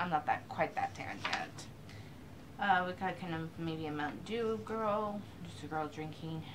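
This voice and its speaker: A woman talks at a moderate pace with ordinary variation in pitch while noticeable background noise is present. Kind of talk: casual vlog chat.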